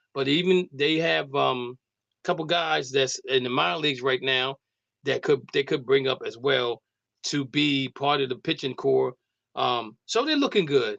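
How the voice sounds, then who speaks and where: Recorded dry and close with no echo against a quiet background, a man with vocal fry speaks at a fairly high pitch and moderate pace with ordinary pitch variation. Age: 60s. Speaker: sports radio host. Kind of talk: casual sports talk.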